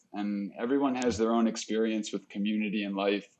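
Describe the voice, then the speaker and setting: A man with a fairly low pitch and a New Jersey accent, against a quiet background. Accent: New Jersey American. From US Northeast, New Jersey. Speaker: podcast host. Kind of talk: casual interview chat.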